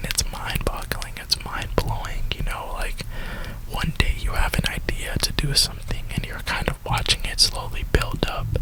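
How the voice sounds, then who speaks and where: A man whispers at a moderate pace with an American accent, over noticeable background noise. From Florida, USA. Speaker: ASMR YouTuber who also works a retail job. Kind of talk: casual talk to camera, rambling. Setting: inside a parked car. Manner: whispered, soft-spoken.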